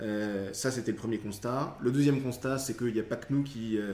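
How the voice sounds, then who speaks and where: The man's voice sits at a medium pitch. He talks at a fairly quick pace with fairly even intonation. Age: 30s. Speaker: entrepreneur. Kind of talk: interview. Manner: halting.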